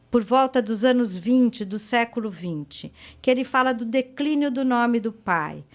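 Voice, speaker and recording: A woman with a normal speaking voice talks fairly slowly at a fairly high pitch with ordinary pitch variation. The recording is very clean, with a silent background. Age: 60s. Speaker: psychoanalyst. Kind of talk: podcast interview.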